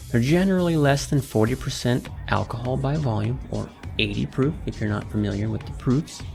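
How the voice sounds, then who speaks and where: A man speaks with music in the background. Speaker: podcast host. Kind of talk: educational podcast talk. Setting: studio.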